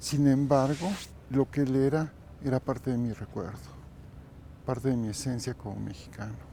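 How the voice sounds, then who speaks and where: A man speaks in a dark, mellow tone at a medium pitch. He leaves long, frequent pauses. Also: ordinary pitch variation, moderate pace. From Mexico. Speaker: kundalini yoga teacher. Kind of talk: interview.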